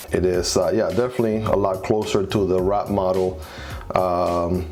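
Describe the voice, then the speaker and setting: A man's very deep, low voice with a non-native accent at a moderate pace, with very even loudness, fairly even intonation, and music in the background. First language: not English. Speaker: knife reviewer, YouTuber. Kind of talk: blooper outtakes, casual talk to camera.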